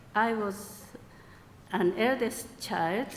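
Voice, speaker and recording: A woman speaks, and audible echo from the room surrounds her voice. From Japan. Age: 70s. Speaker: congregation member speaker. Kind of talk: personal testimony. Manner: halting.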